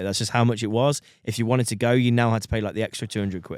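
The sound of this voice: Speaking at a fast pace, a man has a medium pitch and ordinary pitch variation. His tone is clear and smooth, slightly mellow. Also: dry, close sound with no echo.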